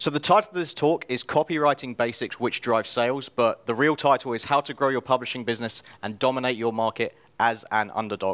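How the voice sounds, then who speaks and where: A man with a British accent speaks at a medium pitch with fairly even intonation, in a dry, close sound with no echo. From England, London. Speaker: self-publisher and copywriter. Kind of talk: conference talk. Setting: stage with audience.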